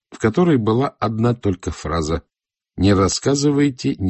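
Lively intonation runs through an unforced reading voice over a quiet background.

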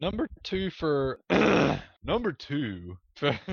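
A put-on character voice from a man, fairly high in pitch, very slow, with very wide pitch swings. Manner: announcer-like, drawn out.

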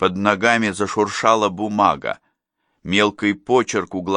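The speaker gives plain reading aloud, with fairly even intonation. Nothing much sounds behind the voice.

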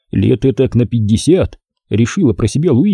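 Reading aloud in a natural voice with lively intonation against a quiet background

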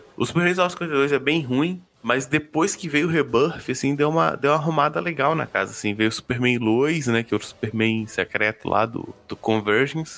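A man with an ordinary speaking voice, fairly high in pitch, talks at a moderate pace with lively intonation and hardly any pauses. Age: 20s. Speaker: comics podcaster. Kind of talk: casual chat.

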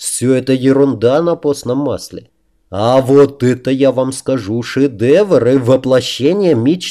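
Over a quiet background, a natural reading voice comes through with ordinary pitch variation.

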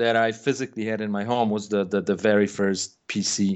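The speaker is a man. He talks with a Polish accent. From Poland. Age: 40s. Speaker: game producer. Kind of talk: interview. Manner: halting.

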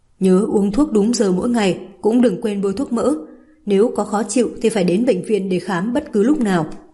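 The voice reads without strain. Its pitch rises and falls in a normal way.

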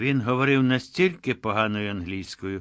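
The pitch varies ordinarily in this natural reading voice.

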